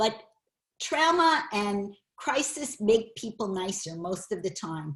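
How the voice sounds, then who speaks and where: A woman's somewhat breathy voice. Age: 60s. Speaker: teacher of a class on anxiety. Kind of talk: online class lecture. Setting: video call.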